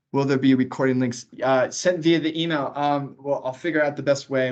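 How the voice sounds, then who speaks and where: A speaker with an American accent talks at a very fast pace. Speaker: transport agency staff trainer. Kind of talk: online training Q&A session. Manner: casual, halting with repetitions.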